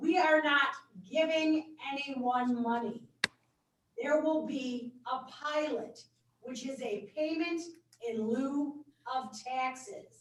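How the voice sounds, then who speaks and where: A loud woman's voice, high in pitch with ordinary variation, very slow and broken by long, frequent pauses. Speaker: board member at public hearing. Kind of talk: public hearing debate.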